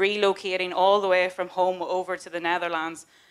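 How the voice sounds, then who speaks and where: A woman with a Northern Irish accent at a fairly quick pace, medium pitch and monotone, flat intonation, in a very clean recording with a silent background. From Northern Ireland, Newry, County Down. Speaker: customer service team leader. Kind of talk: recruitment presentation. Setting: stage with audience.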